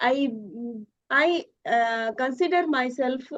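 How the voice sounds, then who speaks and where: Lively intonation marks this woman's high-pitched voice. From India, Odisha. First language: Odia. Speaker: homemaker, English learner. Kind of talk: conversation practice interview. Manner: halting, many fillers.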